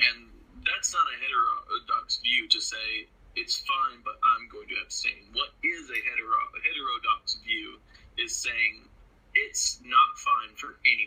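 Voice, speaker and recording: A man's extremely high-pitched voice, lively in intonation and fairly slow in pace, over noticeable background noise. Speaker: podcast co-host. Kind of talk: casual chat.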